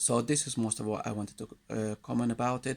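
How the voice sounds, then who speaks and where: A man's voice with vocal fry at a moderate pace. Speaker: vlogger. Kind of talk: opinion monologue. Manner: halting.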